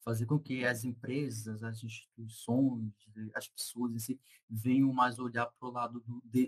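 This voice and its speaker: A man's medium-pitched voice, monotone and flat, at a fairly slow pace, in a dry, close sound with no echo. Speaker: information security researcher. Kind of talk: casual interview chat.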